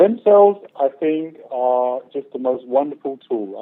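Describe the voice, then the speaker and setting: In a British accent, a man speaks with a fairly high pitch. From Great Britain. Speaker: naturopathic doctor. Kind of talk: interview.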